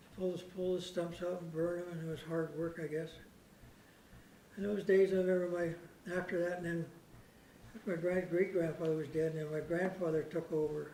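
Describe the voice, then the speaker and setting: A man with a Canadian accent speaks in a high pitch with monotone, flat intonation. The recording has audible room echo and noticeable background noise. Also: moderate pace. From Canada, Royal Oak area of Saanich, Vancouver Island. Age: 80s+. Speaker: local elder sharing family history. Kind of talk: storytelling talk to a small local audience. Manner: conversational, meandering with filler.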